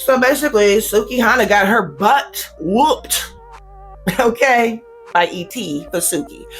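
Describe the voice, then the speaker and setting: Over music in the background, a woman with a fairly high pitch speaks in very wide pitch swings. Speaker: YouTuber reviewing reality TV. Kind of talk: casual commentary review. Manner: animated.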